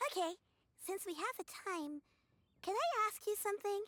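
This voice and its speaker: Putting on a character voice, a woman squeaks at an extremely high pitch, moving at a moderate pace with ordinary pitch variation. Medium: video game.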